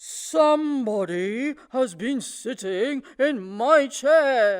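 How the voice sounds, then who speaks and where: Someone uses a put-on character voice with a fairly high pitch, speaking at a very slow pace. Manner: gruff, complaining.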